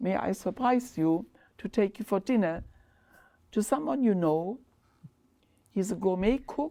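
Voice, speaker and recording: A woman with a German accent speaks at a fairly slow pace with lively intonation. Her medium-pitched voice has a dark, mellow tone in a very clean recording with a silent background. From Germany, Ludwigshafen on the Rhine. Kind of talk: oral history interview. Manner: halting.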